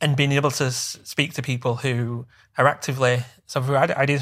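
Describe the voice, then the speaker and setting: In a West Yorkshire accent, a man speaks at medium pitch with monotone, flat intonation and a somewhat breathy sound, on a very clean recording with a silent background. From northern England, Bradford. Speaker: social media event co-founder. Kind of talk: casual interview chat.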